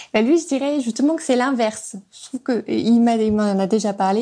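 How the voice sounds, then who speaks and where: A woman's fairly high voice, dark and mellow in tone, at a moderate pace with ordinary pitch variation. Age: 30s. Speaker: podcast guest sharing her relationship. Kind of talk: personal testimony. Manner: halting, many hesitations.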